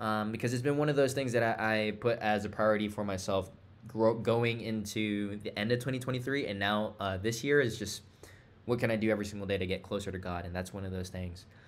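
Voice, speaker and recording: Amid audible room echo, a man talks at a very fast pace with a fairly low pitch and fairly even intonation. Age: 20s. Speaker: entrepreneur vlogger. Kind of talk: casual vlog monologue. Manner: halting, many fillers and repeats.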